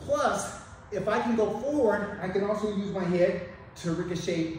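A man's high-pitched voice with ordinary pitch variation, in strong room echo with light background noise. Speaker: martial arts instructor. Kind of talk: tutorial. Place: gym. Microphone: camera far.

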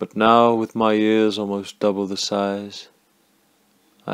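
A man speaks in a monotone, flat intonation in a very clean recording with a silent background. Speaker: actor and writer. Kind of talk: poetry reading.

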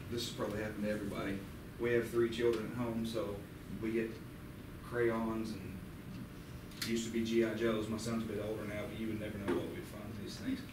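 A man talks at a very fast pace in a flat, monotone way. The room echo is audible, and background noise is noticeable. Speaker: plumbing instructor. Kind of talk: workshop demonstration. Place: classroom. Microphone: camera far.

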